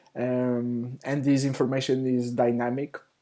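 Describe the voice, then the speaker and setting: With a non-native accent, a man speaks at a fairly slow pace in a dark, mellow tone. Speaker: software developer. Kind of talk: tutorial. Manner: halting, many fillers.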